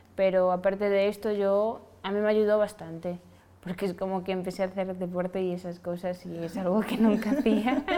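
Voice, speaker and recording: A woman with a medium pitch talks at a moderate pace with fairly even intonation, and background noise is noticeable. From Senegal. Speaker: fashion model. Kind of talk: casual chat.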